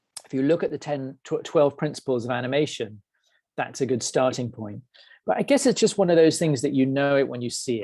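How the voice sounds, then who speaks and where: With an American accent, a man talks at a fairly quick pace in a medium pitch, with a dark, mellow tone and ordinary pitch variation, against a quiet background. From England. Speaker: head of animation, webinar presenter. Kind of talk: webinar Q&A. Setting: online webinar. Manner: hesitant, many fillers and repeats.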